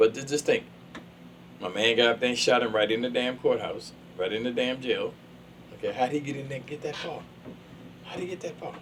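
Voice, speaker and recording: Over noticeable background noise, a man with a medium pitch speaks fairly quickly in an animated tone, with ordinary pitch variation, big swings in loudness and long, frequent pauses. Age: 70s. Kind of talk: casual chat.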